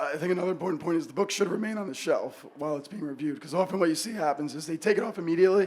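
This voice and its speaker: A man talks very fast in a raspy, high-pitched, put-on character voice. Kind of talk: casual, conversational.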